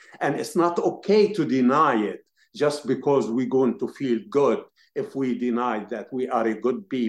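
Against a quiet background, a man talks with an Arabic accent at a fairly slow pace. His pitch is fairly high, and his intonation is lively. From Palestine. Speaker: activist. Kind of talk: interview.

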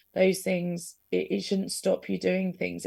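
A woman speaks at a fairly quick pace with an English accent. The recording is very clean, with a silent background. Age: 30s. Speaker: guest with rare illnesses, podcaster. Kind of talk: radio interview. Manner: halting.

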